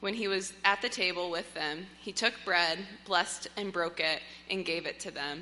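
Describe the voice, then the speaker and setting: A woman speaks in an ordinary speaking voice, keeping a medium pitch, a moderate pace and fairly even intonation. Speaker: new parent. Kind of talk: reading aloud. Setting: church.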